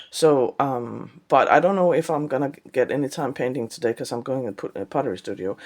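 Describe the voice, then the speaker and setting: A woman with a Danish accent speaks at a fairly quick pace. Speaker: artist. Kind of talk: vlog. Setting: studio. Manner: halting.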